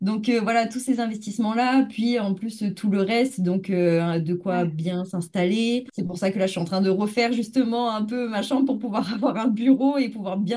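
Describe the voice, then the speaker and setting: Against noticeable background noise, a woman speaks at a fairly high pitch with ordinary pitch variation and hardly any pauses. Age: 20s. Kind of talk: interview.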